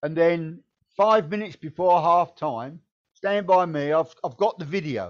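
With a southeast English accent, a man talks at a fairly slow pace in a fairly high pitch. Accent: south-east English. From Kent, England. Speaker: former football manager. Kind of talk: casual chat. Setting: video call.

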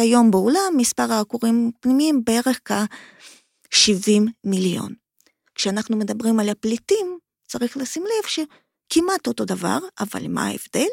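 A woman with a fairly high voice and lively intonation speaks at a fairly slow pace, the sound dry and close with no echo in a very clean recording with a silent background. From Ukraine, Kharkiv. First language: Russian/Ukrainian (speaking Hebrew). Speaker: migration researcher, academic. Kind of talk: interview.

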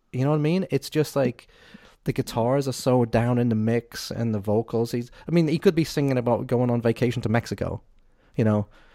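In a Liverpool accent, a man with a dark, mellow tone and medium pitch talks at a fairly quick pace with ordinary pitch variation. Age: 50s. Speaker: podcast host. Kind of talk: casual chat. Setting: video call.

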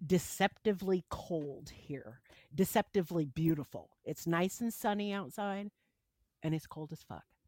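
A woman with an American accent talks at a fairly slow pace and medium pitch, with big swings in loudness and a dry, close sound with no echo. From US Midwest. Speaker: podcast co-host. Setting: remote call.

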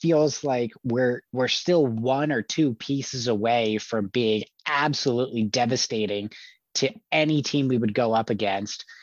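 Speaking in an unremarkable speaking voice, a man goes at a fairly slow pace with medium pitch, ordinary pitch variation and very even loudness. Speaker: podcast co-host. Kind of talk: casual chat.

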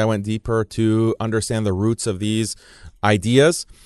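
A man's an ordinary speaking voice with an American accent, medium pitch and a fairly slow pace over a quiet background. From United States. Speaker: Islamic preacher and writer. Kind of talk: interview. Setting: studio.

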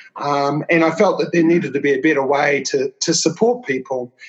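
A man with a New Zealand accent speaks at a moderate pace and a fairly high pitch. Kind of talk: interview conversation.

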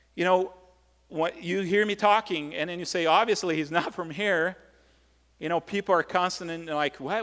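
At a moderate pace, a man with a high pitch speaks with fairly even intonation. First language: Portuguese. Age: 40s. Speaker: pastor. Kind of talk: sermon. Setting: church. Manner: halting, with filler words.

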